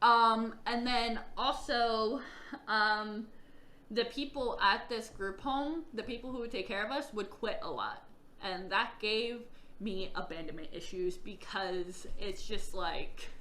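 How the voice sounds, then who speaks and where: A woman talks very slowly, her words carrying audible room echo. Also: fairly high pitch for a woman, ordinary pitch variation. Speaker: vlogger telling own life story. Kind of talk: personal testimony vlog.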